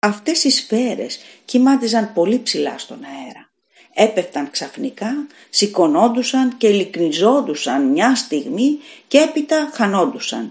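A woman's fairly high voice, fairly slow, with very wide pitch swings and big swings in loudness. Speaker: audiobook narrator. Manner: measured, suspenseful storytelling pace with tense, hushed build-up; raises intensity for screams and panic, slightly dramatic.

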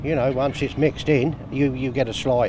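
A man talks at a moderate pace over noticeable background noise, the sound dry with no echo. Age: 60s. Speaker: pensioner; interviewee. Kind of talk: casual interview. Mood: cheerful, pleased. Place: street. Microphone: handheld.

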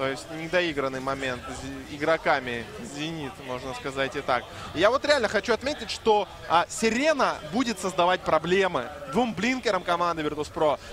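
This man's high voice swings very widely in pitch at a moderate pace. Noticeable background noise runs under him. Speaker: esports commentator. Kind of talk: live commentary.

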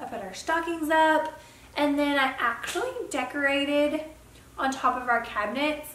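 A Southern US accent at a moderate pace with ordinary pitch variation, light background noise and audible room echo. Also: woman, high pitch for a woman. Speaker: beauty vlogger. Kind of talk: casual vlog, get ready with me. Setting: home, filming on camera. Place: home room. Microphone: camera far.

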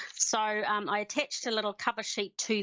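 The woman's speech comes at a moderate pace, set against a quiet background. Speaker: remote council presenter. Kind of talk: meeting presentation. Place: home room. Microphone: headset.

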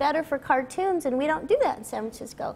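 Her voice is high-pitched for a woman. The pitch varies in an ordinary way. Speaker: voice actress guest. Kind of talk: interview answer. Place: stage. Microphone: lapel.

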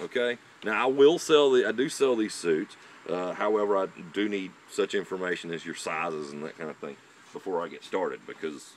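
Light background noise sits under a man talking fairly quickly at a fairly low pitch, his voice making very wide pitch swings. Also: dry sound with no echo. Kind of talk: tutorial. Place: forest. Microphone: camera far.

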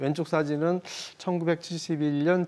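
A man is speaking. His tone is dark and mellow. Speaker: photographer. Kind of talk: explanatory talk on a broadcast segment.

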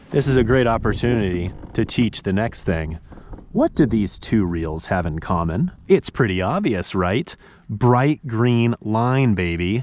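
A man with an American accent speaks at a fairly slow pace in a medium pitch, his intonation lively and the sound dry with no echo. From Kansas, US Midwest. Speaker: fishing youtuber. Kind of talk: outdoor fishing tutorial. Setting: outdoors on the water. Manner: animated. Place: waterside. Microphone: phone near.

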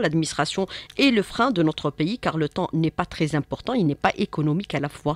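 A woman in a normal speaking voice, fairly low in pitch, at a fairly quick pace with lively intonation and very even loudness, the sound dry with no echo. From Algeria. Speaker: radio host. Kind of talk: radio interview. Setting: studio. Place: studio. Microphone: studio mic.

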